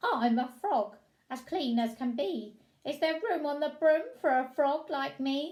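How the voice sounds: Putting on a croaky character voice, a woman speaks at a high pitch and a fairly slow pace.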